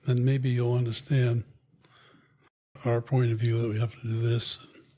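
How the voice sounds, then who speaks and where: With an American accent, a man speaks at a medium pitch. His somewhat breathy voice has a dark, mellow tone and monotone, flat intonation. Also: moderate pace. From Connecticut. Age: 80s+. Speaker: retired HR executive and veteran. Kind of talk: interview.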